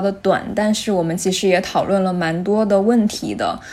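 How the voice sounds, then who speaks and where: This woman has a medium pitch and a dark, mellow tone, talking at a moderate pace. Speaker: podcast host. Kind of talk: casual chat.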